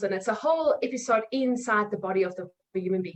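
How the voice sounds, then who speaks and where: This woman has a fairly high pitch and speaks with a South African accent. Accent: South African (Afrikaans) English. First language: Afrikaans. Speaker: nutrition coach. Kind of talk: podcast interview.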